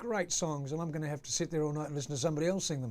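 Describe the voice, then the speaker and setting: Fairly even intonation marks a plain, everyday voice. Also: man. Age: 60s. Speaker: actor and singer. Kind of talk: interview. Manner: casual, many fillers.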